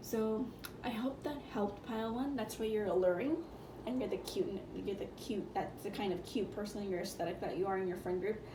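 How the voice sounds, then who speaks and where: The talking moves at a fairly quick pace. Noticeable background noise can be heard. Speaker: tarot reader. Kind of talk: tarot reading. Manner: halting, with fillers.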